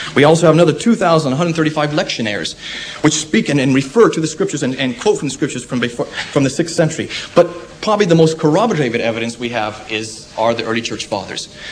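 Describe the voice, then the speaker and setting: Over light background noise, a man with an American accent talks very fast at a fairly high pitch with lively intonation. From United States. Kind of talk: public debate. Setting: lecture hall with audience. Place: hall.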